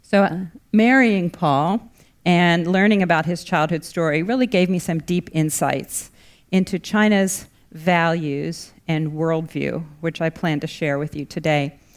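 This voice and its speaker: A normal speaking voice with an American accent, ordinary pitch variation and a fairly slow pace, on a very clean recording with a silent background. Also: woman, fairly low pitch for a woman. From United States. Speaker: lecturer, former journalist. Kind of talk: lecture.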